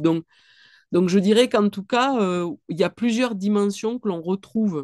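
A woman with a strong southwestern French accent speaks in a dark, mellow tone with ordinary pitch variation, the sound dry with no echo and the background quiet. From southwestern France. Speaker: clinical psychologist and author; guest. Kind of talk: online book talk. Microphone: webcam.

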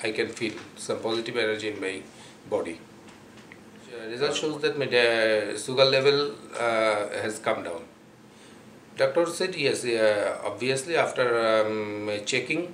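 In a Bangladeshi accent, a man leaves long, frequent pauses, with audible room echo and light background noise around him. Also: ordinary pitch variation, fairly slow pace. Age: 40s. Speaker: patient giving testimonial. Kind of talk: testimonial. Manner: halting, many fillers. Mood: calm, earnest. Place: home room. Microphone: camera far.

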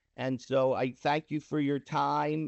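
A plain, everyday voice carries fairly even intonation. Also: man. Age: 60s. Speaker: prospective business owner presenting to board. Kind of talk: public meeting presentation.

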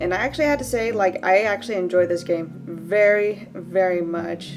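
Music is heard behind the voice. The delivery is fairly quick, with ordinary pitch variation. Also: woman. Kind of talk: casual talk to camera. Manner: low-energy.

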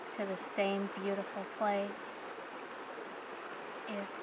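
A woman talks at a very slow pace. Loud background noise runs behind her. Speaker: ASMR creator. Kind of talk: ASMR soft-spoken reflective monologue. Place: waterside.

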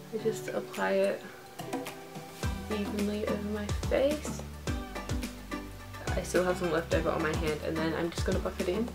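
A woman at a moderate pace with long, frequent pauses, over clear music in the background. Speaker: makeup vlogger. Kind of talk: tutorial. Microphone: camera far.

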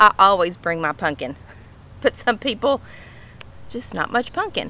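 Lively intonation marks this voice with a Southern US accent, recorded dry with no echo. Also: woman. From Kentucky. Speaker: lifestyle vlogger. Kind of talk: casual talk to camera. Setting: outdoors. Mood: warm, amused. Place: garden. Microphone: phone near.

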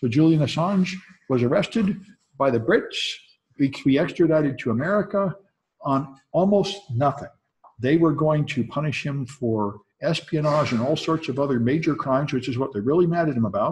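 A man with a somewhat breathy voice speaks at a moderate pace, his intonation lively. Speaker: college instructor. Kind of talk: lecture. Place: classroom.

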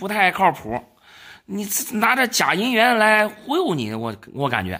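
A raised, projected man's voice, high-pitched and bright and sharp, with an animated tone and lively intonation at a fairly slow pace, in a very clean recording with a silent background. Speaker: silver and antiques appraiser and dealer. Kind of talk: casual appraisal chat with customers. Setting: shop, face to face with sellers. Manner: animated, exclamatory.

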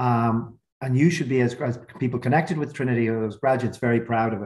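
A man speaks very fast and somewhat breathily against a quiet background. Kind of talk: webinar opening remarks. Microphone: video call.

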